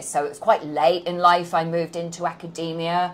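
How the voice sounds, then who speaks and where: The speaker has a British accent. The pace is moderate. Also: woman. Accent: non-New York, British. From London, England. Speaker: business professor. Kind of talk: interview. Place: office. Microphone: lapel.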